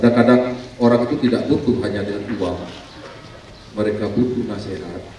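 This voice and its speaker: The clip carries noticeable background noise together with audible room echo. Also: man. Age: 60s. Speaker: local politician, former teacher. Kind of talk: ceremonial speech.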